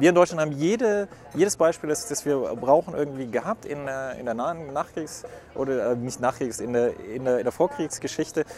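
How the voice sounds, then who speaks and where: A man speaks with lively intonation at a fairly high pitch. Noticeable background noise is present. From Würzburg, Franconia. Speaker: podcast host. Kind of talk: interview. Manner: hasty.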